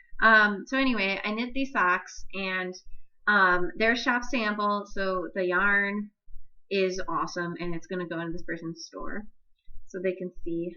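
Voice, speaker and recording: Loud and bright with a sharp tone, a woman speaks at a medium pitch and a fairly slow pace, with long, frequent pauses. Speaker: knitting podcaster. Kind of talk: casual solo podcast chat. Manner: hesitant, many fillers. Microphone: far from the microphone.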